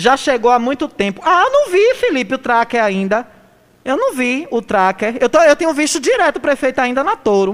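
A woman speaks fairly quickly in a high, animated voice. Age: 40s. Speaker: radio news host. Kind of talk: radio talk show with political commentary.

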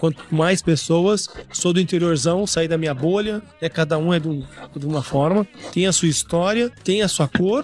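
A man with a high voice talks while background noise is clearly audible. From Brazil, interior of Paraná. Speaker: podcast host. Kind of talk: casual chat. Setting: recorded at a live event.

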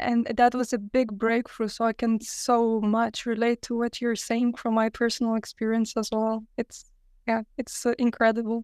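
A woman's fairly high, flat monotone in a Lithuanian accent, moderate pace, dry and close with no echo. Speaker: podcast host. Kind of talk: casual interview.

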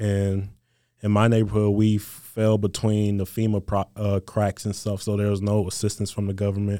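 In a very clean recording with a silent background, a man with a Mississippi accent speaks at a moderate pace in a fairly low pitch, his dark, mellow tone held to a monotone, flat intonation. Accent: Southern US (Mississippi). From US South, Mississippi Gulf Coast. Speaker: college football player. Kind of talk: interview.

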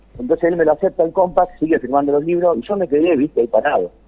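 His voice sits fairly high. This man speaks at a very fast pace. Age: 50s. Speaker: tango singer. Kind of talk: interview.

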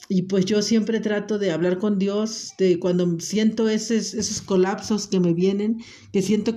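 Speaking at a fairly slow pace, a woman uses a monotone, flat intonation at a medium pitch, her tone dark and mellow. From Mexico, Acapulco (Guerrero). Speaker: podcast host, stay-at-home mother. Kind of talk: personal monologue podcast. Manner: hesitant, with filler words.

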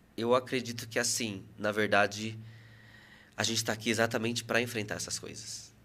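Using a bright, sharp tone, a man speaks fairly quickly at a medium pitch in a flat monotone. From Brazil, Salto (São Paulo state). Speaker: psychoanalyst. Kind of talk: casual interview.

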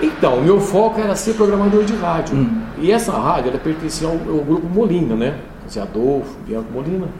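With noticeable background noise and audible room echo, a man speaks at a moderate pace in a high voice whose pitch swings very widely. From São Paulo state, Brazil (São Joaquim). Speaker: radio announcer and programmer. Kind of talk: interview.

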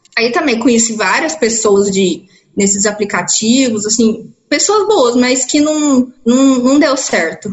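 A woman speaks very slowly in a high pitch, with lively intonation and very even loudness. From interior of São Paulo state, Brazil (Ituverava). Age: 20s. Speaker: biomedical scientist. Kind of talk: interview testimony. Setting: video call. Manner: halting.

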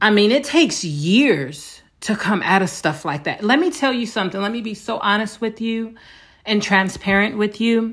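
With a normal speaking voice, a woman talks at a moderate pace, her pitch fairly high and her intonation lively. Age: 40s. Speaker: podcast host, abuse survivor. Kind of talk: solo monologue, personal testimony. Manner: frequent filler words (um, uh).

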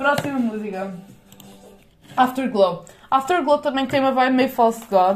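Amid noticeable background noise, a high-pitched woman talks in an animated tone at a moderate pace, with ordinary pitch variation and long, frequent pauses. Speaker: podcaster. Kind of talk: casual monologue.

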